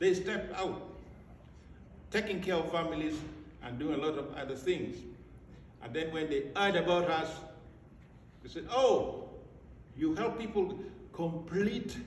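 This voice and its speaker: In an American accent, a man speaks at a high pitch with ordinary pitch variation, against noticeable background noise and audible room echo. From Africa. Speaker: school director. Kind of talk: graduation speech. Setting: ceremony with audience. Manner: formal.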